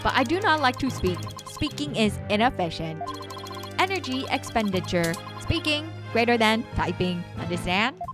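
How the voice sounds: A woman does a put-on, robotic character voice at a moderate pace. Clear music plays in the background.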